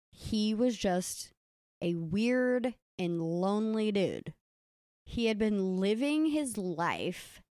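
A woman's medium-pitched voice with lively intonation at a very slow pace, in a dry, close recording without echo. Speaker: podcast host telling the case. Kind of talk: storytelling narration of a true crime case, casual.

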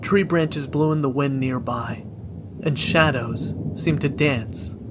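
The pitch varies in an ordinary way. Noticeable background noise runs under the voice. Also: man. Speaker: horror story narrator. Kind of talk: ghost story telling. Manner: hushed, slow, eerie.

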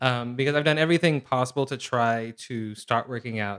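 A man speaks with an American accent at a medium pitch. His pitch varies in an ordinary way. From Seattle, Pacific Northwest US. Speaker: comedian and writer. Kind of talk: casual chat.

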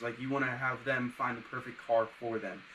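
Against noticeable background noise, a man with medium pitch speaks at a fairly quick pace in a monotone, flat intonation. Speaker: podcast co-host. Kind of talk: casual interview.

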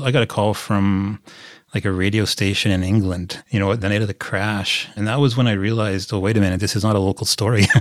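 A man speaks with a Canadian Prairies accent in a fairly low pitch. The recording is very clean, with a silent background. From Saskatchewan, Canada (small town near Prince Albert). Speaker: sports journalist. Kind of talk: interview.

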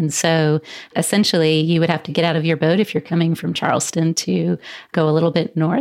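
A woman with a Southern US accent talks fairly quickly in a fairly low voice with fairly even intonation. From Columbia, South Carolina. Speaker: history organization director. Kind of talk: interview.

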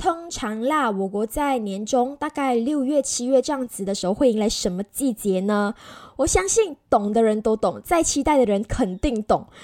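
Animated and lively in intonation, a woman speaks at a high pitch, recorded dry and close with no echo. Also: moderate pace. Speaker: podcast host. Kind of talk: casual interview.

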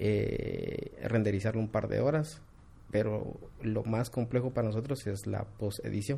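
Fairly slow, fairly even delivery with a dark, mellow tone and vocal fry. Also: man, fairly low pitch for a man. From Guatemala, Quetzaltenango (Xela). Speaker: architectural visualization studio CEO. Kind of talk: interview.

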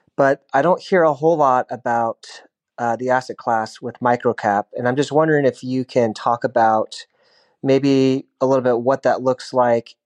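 A man with a normal speaking voice talks at a medium pitch and moderate pace with fairly even intonation. The sound is dry and close, with no echo. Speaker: caller. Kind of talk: recorded listener question.

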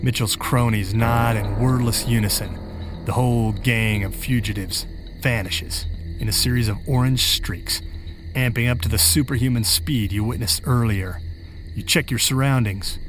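Over music in the background, a man talks at a moderate pace in a medium pitch with ordinary pitch variation. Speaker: horror fiction author and podcast host. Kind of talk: scripted horror narration in second person. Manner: formal, inviting and theatrical in the intro and outro.

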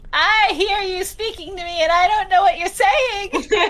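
An extremely high-pitched, squeaky, female-sounding put-on character voice moves at a moderate pace. Light background noise sits under it. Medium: actual play. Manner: rambling, enthusiastic.

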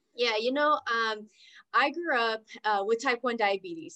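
In an American accent, a woman with a fairly high pitch and lively intonation talks at a fairly slow pace in an ordinary speaking voice. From Oklahoma. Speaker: entrepreneur and business coach. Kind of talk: interview.

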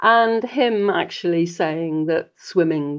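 The woman's pitch shifts in an ordinary way. She talks fairly slowly. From Britain. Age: 80s+. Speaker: charity head and triathlete. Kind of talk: casual interview.

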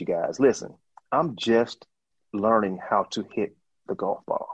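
With a Mississippi accent, a man talks at a fairly slow pace. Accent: Southern US (Mississippi). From US South, northern Mississippi. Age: 50s. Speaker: long drive golfer. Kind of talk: interview.

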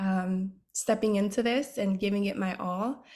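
A woman with a plain, everyday voice, a fairly high pitch and a moderate pace, in a very clean recording with a silent background. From New York City, the Bronx. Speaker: fashion model. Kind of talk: casual interview chat.

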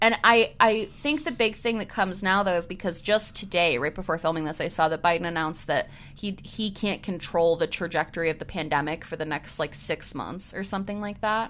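A woman with a normal speaking voice and an American accent talks at a medium pitch with ordinary pitch variation. She goes at a fairly quick pace with hardly any pauses. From US Northeast, Syracuse New York. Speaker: podcast co-host. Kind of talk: casual chat. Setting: home recording setup.

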